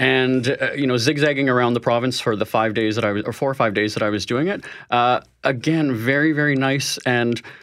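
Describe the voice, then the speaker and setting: In a Canadian accent, a man talks with a normal speaking voice at a medium pitch. His loudness is very even and his intonation fairly even. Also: fairly quick pace. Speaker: money-saving expert. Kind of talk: interview. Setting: studio.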